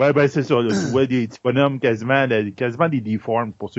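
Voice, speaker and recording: This man's pitch is medium, and his pace very fast. The intonation remains fairly even. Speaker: film columnist. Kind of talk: casual chat.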